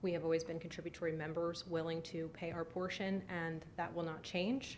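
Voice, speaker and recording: In a room with audible echo, a woman speaks at a fairly quick pace in a fairly low, monotone, flat voice. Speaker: applicant presenting at zoning hearing. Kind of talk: formal presentation at public hearing. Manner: fast.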